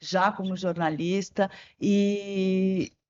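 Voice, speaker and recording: A woman's voice at a medium pitch. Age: 60s. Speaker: journalist and environmentalist. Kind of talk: interview podcast.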